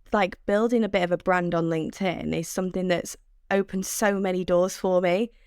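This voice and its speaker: In a very clean recording with a silent background, a woman with a Mancunian accent speaks at a medium pitch and a fairly slow pace, her intonation fairly even. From Manchester, northern England. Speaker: sales development rep. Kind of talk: podcast interview.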